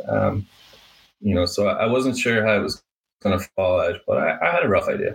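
In an Irish accent, the speaker moves at a fairly slow pace. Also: man. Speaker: painting business owner. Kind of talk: interview.

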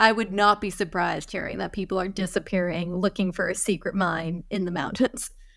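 A woman at medium pitch, fairly quick with hardly any pauses and fairly even intonation, on a very clean recording with a silent background. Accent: northeastern American. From US Northeast, Vermont. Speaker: writer. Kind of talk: casual chat.

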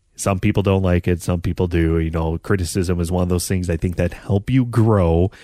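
A man with an American accent and a very deep, low pitch is heard with very even loudness and a dry, close sound with no echo. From North Dakota, US Midwest. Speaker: podcast host, former radio sports broadcaster. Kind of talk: casual solo monologue. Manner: halting, many fillers.

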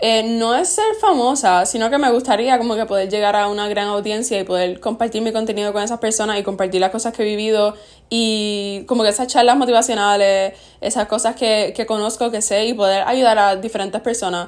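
The recording is very clean, with a silent background. A woman speaks fairly quickly in a fairly high pitch with fairly even intonation. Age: young. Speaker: podcast host. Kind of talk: casual chat.

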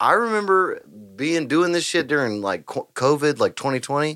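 With a Texan accent, a man speaks fairly slowly at a fairly high pitch in a bright, sharp tone, his pitch swinging very widely over a very clean recording with a silent background. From Texas, Huffman. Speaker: podcast host and musician. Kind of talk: casual chat. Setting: live-streamed podcast studio.

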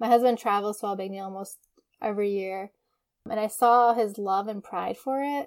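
With an American accent, a woman speaks in a fairly high voice. Her intonation is fairly even. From US Midwest, Detroit, Michigan. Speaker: podcast host. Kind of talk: solo podcast monologue.

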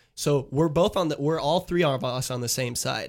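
On a very clean recording with a silent background, a man with an unremarkable speaking voice speaks at a fairly high pitch with ordinary pitch variation. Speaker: sports podcast co-host. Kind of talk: casual chat. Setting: studio.

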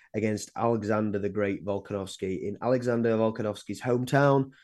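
With an English accent, a man speaks at medium pitch and moderate pace, with fairly even intonation against a quiet background. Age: 20s. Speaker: sports podcast co-host. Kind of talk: casual chat.

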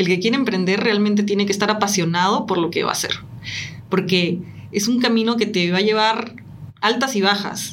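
A woman speaks at a medium pitch with fairly even intonation and very even loudness. Noticeable background noise and audible room echo are present. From Peru. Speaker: entrepreneur. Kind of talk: interview. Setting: live stream.

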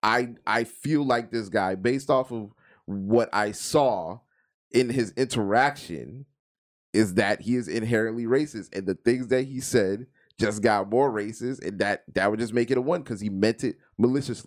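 An unremarkable speaking voice moves at a moderate pace with ordinary pitch variation in a very clean recording with a silent background. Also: man. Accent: American. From Florida, US. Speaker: podcast co-host. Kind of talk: casual banter, crude comedy chat.

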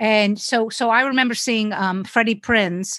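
A woman with a New York accent, a bright, sharp tone and a fairly slow pace against a quiet background. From New York City. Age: 60s. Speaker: stand-up comedian. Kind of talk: casual chat.

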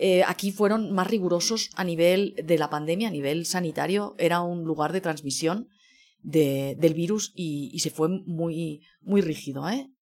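A plain, everyday voice moves at a fairly slow pace with ordinary pitch variation. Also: woman, fairly low pitch for a woman. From Spain, Barcelona. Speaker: food journalist. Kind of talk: interview conversation.

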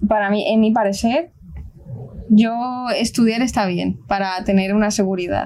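Fairly slow, fairly evenly intoned speech from a woman with a fairly high voice. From Colombia, then Spain. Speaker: aerospace engineering student. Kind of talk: casual family chat.

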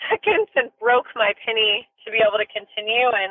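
At a moderate pace and fairly high pitch, a woman talks in a normal speaking voice. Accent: American. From US West Coast, Sonoma County, California. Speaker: equestrian business owner and rider. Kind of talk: podcast interview.

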